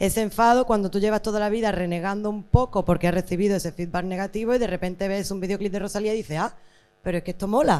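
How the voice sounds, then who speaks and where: Keeping a fairly even intonation, a woman speaks at a very fast pace. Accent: Andalusian. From Andalusia. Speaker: panelist. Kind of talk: panel discussion.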